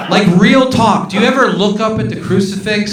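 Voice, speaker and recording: Over noticeable background noise and audible room echo, a man with a high voice speaks in an animated tone. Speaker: stand-up comedian. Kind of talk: stand-up. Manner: whispering at the end.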